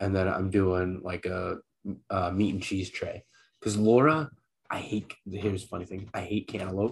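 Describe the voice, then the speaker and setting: At a moderate pace, a man with a fairly low pitch talks in a normal speaking voice. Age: 30s. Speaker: soccer podcast co-host. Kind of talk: casual chat.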